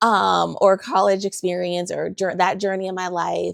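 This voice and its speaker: The recording is very clean, with a silent background. In it, a woman talks in an animated tone. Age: 40s. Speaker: photographer and podcast host. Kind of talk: casual monologue podcast.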